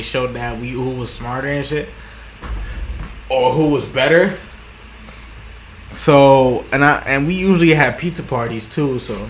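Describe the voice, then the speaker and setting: A man mumbles at a moderate pace and a medium pitch, with fairly even intonation and long, frequent pauses. Noticeable background noise and audible room echo are present. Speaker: vlogger. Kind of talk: casual monologue. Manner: halting, many repetitions and restarts; rambling mumbling.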